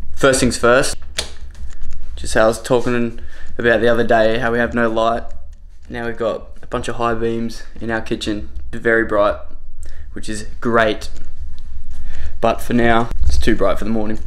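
A man talks at a moderate pace. He takes long, frequent pauses. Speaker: fitness vlogger. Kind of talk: casual vlog chat. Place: kitchen. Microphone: phone near.

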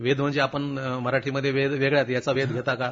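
A man is talking, his pitch fairly high. He has an unremarkable speaking voice. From Marathwada, Maharashtra (Nanded district). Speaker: writer. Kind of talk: interview. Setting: radio studio.

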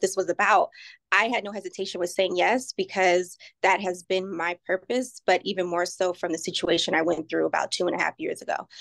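A woman speaks with vocal fry at a fairly quick pace over a quiet background. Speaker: real estate professional. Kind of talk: casual chat. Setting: video call. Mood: warm, appreciative. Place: office. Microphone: video call.

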